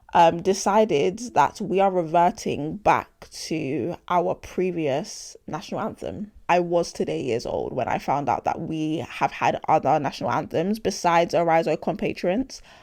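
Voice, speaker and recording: Heard on a very clean recording with a silent background, a woman with a London accent speaks at a fairly low pitch with vocal fry. Her pace is fairly slow, with lively intonation and hardly any pauses. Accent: London, multicultural London English. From London (Hackney), British Nigerian. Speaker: podcast host. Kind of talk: casual opinion monologue. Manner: animated.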